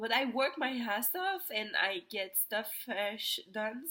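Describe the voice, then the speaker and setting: Speaking at a very slow pace, a woman with a Quebec accent talks in a fairly high pitch. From Quebec, Montreal. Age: 20s. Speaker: vlogger. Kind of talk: personal testimony vlog. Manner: halting, many fillers.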